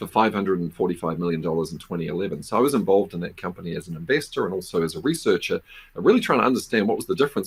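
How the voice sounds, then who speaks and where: A man's very fast speech in a New Zealand accent. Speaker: business professor and venture investor. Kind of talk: conference presentation. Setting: virtual conference.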